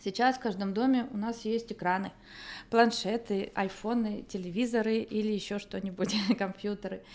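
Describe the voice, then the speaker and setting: A woman's fairly high voice, monotone and flat in intonation, at a moderate pace. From northern Kazakhstan. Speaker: artist. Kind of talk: interview.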